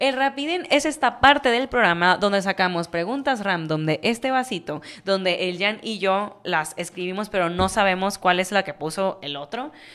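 A woman speaks at a moderate pace with hardly any pauses. Her tone is animated and her intonation lively, with a quiet background. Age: 20s. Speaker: podcast co-host. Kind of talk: casual chat. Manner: animated, laughing often. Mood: playful, joking. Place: studio. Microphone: studio mic.

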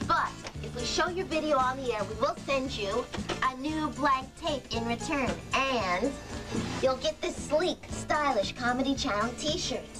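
Clear music plays in the background as a woman talks. Her pace is fairly slow. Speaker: TV host. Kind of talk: comedic TV promo read. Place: home room.

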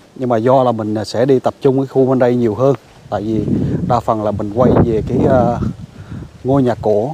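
A man speaks at a medium pitch and moderate pace with fairly even intonation. The sound is dry with no echo, though background noise is noticeable. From Phan Thiet, south-central Vietnam; Vietnam. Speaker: YouTuber exploring old houses. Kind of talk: walking vlog tour. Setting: on location at an old house, outdoors. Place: garden. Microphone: lapel.

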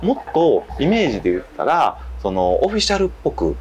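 The speech moves at a fairly quick pace over light background noise. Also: man. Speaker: guest. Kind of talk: interview answer. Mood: relaxed, reflective, some laughing. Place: bar.

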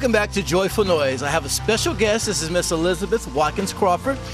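Clear music plays behind a man who talks at a very fast pace in a dry sound with no echo. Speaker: TV show host. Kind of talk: interview hosting. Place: street. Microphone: handheld.

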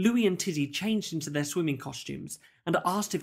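Someone is reading aloud in a natural voice. The delivery is natural throughout.

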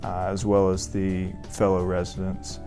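Very deep, low male voice in an American accent, with fairly even intonation and faint music in the background. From Augusta, Georgia, USA. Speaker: family medicine resident doctor. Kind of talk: interview answer. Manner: hesitant, many fillers. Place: office. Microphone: lapel.

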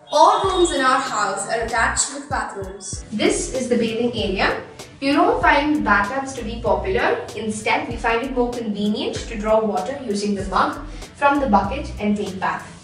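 A woman speaks at a moderate pace, with audible room echo and faint music in the background. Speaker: home tour guide. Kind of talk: casual tour narration. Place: bathroom.

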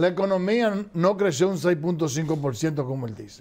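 A man with a fairly high pitch and slightly mellow tone talks at a moderate pace, his intonation lively.

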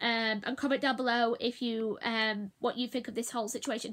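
A woman with a high pitch and a bright, sharp tone speaks at a moderate pace against a quiet background. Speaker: vlogger. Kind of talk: casual vlog chat. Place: home room. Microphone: phone near.

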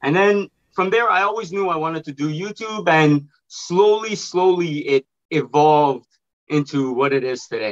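A man's lively, fairly quick delivery against a quiet background. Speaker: online video creator. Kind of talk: casual chat. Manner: animated. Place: home room. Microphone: video call.

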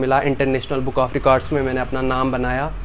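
Light background noise runs behind the man's voice. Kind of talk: interview answer. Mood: proud, earnest about struggle. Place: shop.

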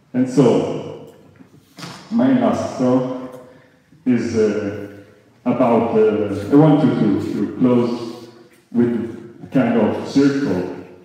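A man speaks at a very slow pace with long, frequent pauses and fairly even intonation. Strong room echo surrounds his voice. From Italy. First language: Italian. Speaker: event organizer and amateur radio operator; amateur radio operator. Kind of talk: ceremony speech; closing talk to audience. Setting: stage with audience. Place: hall.

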